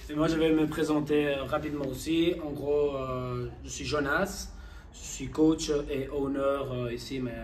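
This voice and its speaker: A man speaking fairly slowly amid audible room echo and background music. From Spain. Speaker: gym owner and fitness coach. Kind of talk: casual chat. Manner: halting.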